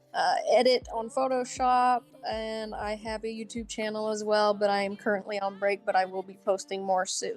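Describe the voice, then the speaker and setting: A woman with a plain, everyday voice talks at a moderate pace and fairly high pitch, with ordinary pitch variation and hardly any pauses. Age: 20s. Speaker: live stream co-host. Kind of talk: casual chat.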